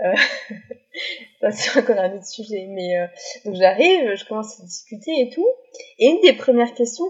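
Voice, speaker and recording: The voice swings very widely in pitch and shifts sharply in loudness, moving at a fairly slow pace. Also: woman. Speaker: student who lived abroad. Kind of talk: casual chat.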